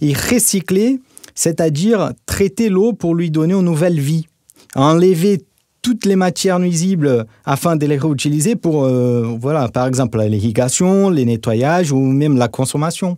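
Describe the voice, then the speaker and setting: Speaking at a fairly slow pace, a man uses a fairly high pitch with a dark, mellow tone, lively intonation and very even loudness. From Brazil. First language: Portuguese (speaking French). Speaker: corporate marketing director, expert guest. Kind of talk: podcast interview.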